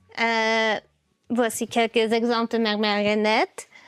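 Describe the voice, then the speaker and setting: A woman with an English accent and a fairly high pitch, in a dry, close sound with no echo. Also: very clean recording, silent background. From US, Baltimore, Maryland. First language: English (speaking French). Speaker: puppeteer. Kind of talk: interview. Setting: her workshop. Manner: halting, many fillers.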